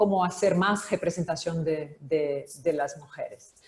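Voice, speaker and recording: With a Brazilian accent, a woman of medium pitch speaks at a fairly slow pace with fairly even intonation. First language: Portuguese (speaking Spanish). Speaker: publisher. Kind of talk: panel discussion. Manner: halting.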